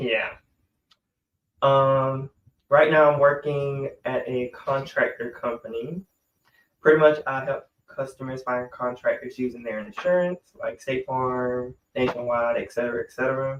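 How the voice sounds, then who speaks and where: At a fairly slow pace, a man with a normal speaking voice and medium pitch keeps his intonation fairly even. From Georgia, US South. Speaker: podcast co-host. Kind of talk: casual chat.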